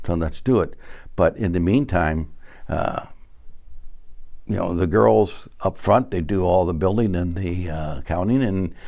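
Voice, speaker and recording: A man speaks fairly slowly, his very deep, low voice dark and mellow in tone. His intonation is lively, broken by long, frequent pauses. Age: 70s. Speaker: fire sprinkler company executive. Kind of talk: interview. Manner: halting.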